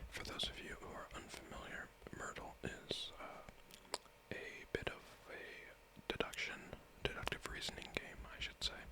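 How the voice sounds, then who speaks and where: Someone whispers in a relaxed tone at a moderate pace, with long, frequent pauses and noticeable background noise. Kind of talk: ASMR puzzle-game reading and solving, soft-spoken talk to camera. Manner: soft-spoken, whispering, relaxed.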